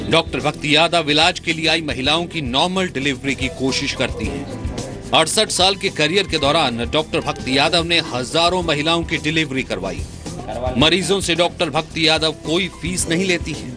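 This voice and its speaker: The speaker uses ordinary pitch variation. Music plays in the background. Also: man. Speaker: TV news reporter. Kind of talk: TV news report narration.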